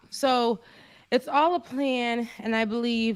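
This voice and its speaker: This is a woman speaking. She has a slight Florida accent. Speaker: live show co-host. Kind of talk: casual chat. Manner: animated.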